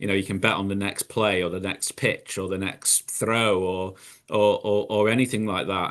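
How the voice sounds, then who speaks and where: With a British accent, a man speaks in a fairly low pitch and fairly even intonation over a quiet background. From UK. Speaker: recovered gambler, gambling harm educator. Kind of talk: panel webinar discussion. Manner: halting, many repetitions.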